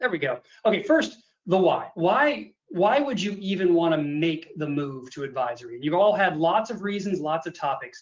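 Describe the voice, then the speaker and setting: The speaker is a man. His voice has a high pitch. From US Midwest, Illinois. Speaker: accountant and advisory consultant. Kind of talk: webinar presentation. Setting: video call webinar with screen share. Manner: fast; animated.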